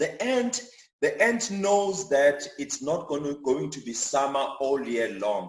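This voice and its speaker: With a Zulu accent, a man speaks at a fairly high pitch. His pitch swings very widely amid audible room echo. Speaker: chartered accountant giving church finance talk. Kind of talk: church talk on personal finance. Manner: repetitive, frequent fillers and restarts.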